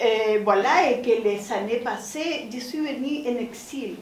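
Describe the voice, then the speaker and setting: A woman speaks very slowly in a high voice with ordinary pitch variation, some room echo audible over light background noise. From Chile. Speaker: visual artist; panelist. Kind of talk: panel testimony. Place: stage.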